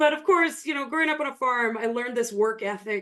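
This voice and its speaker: Noticeable background noise runs under the speech. A woman talks with a western Canadian accent and lively intonation. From Canada, rural Alberta. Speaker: online business coach. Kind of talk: storytelling on a podcast.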